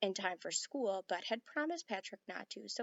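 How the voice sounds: A natural reading voice with lively intonation.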